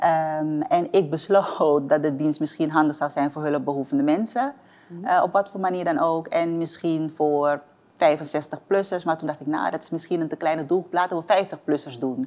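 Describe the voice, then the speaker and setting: A woman speaks with a very deep, low pitch and ordinary pitch variation. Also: moderate pace. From Suriname (Paramaribo), moved to Amsterdam at nine. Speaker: entrepreneur. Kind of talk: interview.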